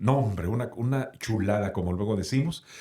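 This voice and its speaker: Moderately paced male speech, somewhat breathy, with ordinary pitch variation. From Sonora, Mexico. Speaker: radio announcer. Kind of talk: interview answer.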